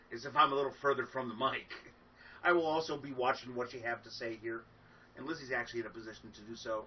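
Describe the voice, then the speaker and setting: Speaking very fast, a man keeps a medium pitch and fairly even intonation. His loudness swings widely. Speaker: folk musician. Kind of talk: casual chat. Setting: livestreamed concert. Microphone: far from the mic.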